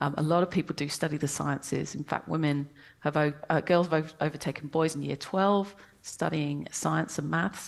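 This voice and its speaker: Against a quiet background, a speaker with a British accent and some vocal fry talks at a moderate pace with fairly even intonation. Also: woman, very deep, low pitch for a woman. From England. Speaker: professor and science communicator. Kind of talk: interview. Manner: hesitant, many fillers.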